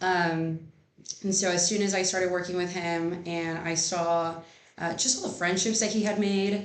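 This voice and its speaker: Speaking at a moderate pace with an American accent, a woman with a fairly low pitch and fairly even intonation is heard with audible room echo. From Texas, Rio Grande Valley (Edinburg). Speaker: lawyer. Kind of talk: interview. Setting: law office.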